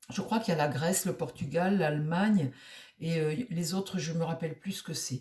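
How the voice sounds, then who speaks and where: A woman speaks at a moderate pace with a fairly low pitch and ordinary pitch variation. Her tone is dark, mellow and somewhat breathy. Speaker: tarot reader. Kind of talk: casual monologue. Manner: halting, many hesitations.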